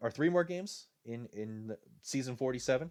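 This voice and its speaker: On a very clean recording with a silent background, a man with a Rhode Island accent talks at a fairly slow pace, medium in pitch, with lively intonation. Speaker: video game commentator. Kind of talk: live commentary. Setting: live stream. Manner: casual, with many filler uh's.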